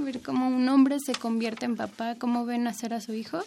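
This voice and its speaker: In a normal speaking voice, a woman talks at a fairly high pitch with fairly even intonation. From Mexico City. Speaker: apprentice midwife. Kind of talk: radio interview.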